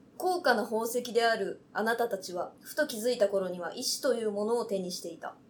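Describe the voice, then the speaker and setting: Her loudness swinging widely, a woman talks at a fairly quick pace with hardly any pauses, her fairly high voice showing ordinary pitch variation. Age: young. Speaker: TikToker. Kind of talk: reading aloud; casual chat. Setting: on location. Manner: fast.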